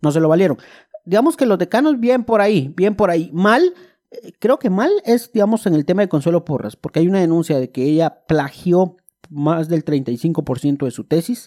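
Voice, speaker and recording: This man has a high-pitched voice with a dark, mellow tone. His intonation is lively. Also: moderate pace, dry, close sound with no echo. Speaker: podcast co-host. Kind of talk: casual chat.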